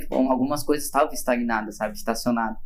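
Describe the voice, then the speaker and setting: Audible room echo fills the space as a man talks with ordinary variation in pitch. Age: 20s. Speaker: podcast co-host. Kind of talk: casual chat.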